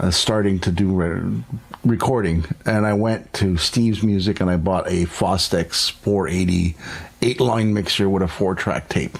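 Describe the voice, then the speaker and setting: Moderate pace, ordinary pitch variation and very even loudness over noticeable background noise. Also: man, very deep, low pitch for a man. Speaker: podcast host. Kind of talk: casual chat.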